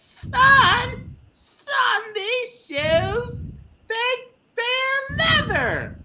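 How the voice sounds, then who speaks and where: Shouting in a strained, extremely high put-on character voice, the speaker goes at a very slow pace. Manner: strained, yelling.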